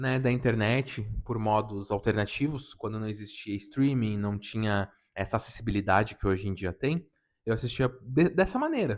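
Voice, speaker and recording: In a very clean recording with a silent background, a man with a plain, everyday voice speaks at a moderate pace and fairly low pitch with ordinary pitch variation. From southern Brazil, Rio Grande do Sul (Serra region). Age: 30s. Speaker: anime YouTuber. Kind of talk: casual unedited self-introduction vlog.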